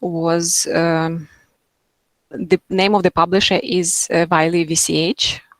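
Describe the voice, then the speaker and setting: A woman's very slow, fairly low-pitched speech with a non-native accent and fairly even intonation. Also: dry, close sound with no echo. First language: not English. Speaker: materials scientist. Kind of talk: Q&A after a lecture. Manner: halting, many fillers.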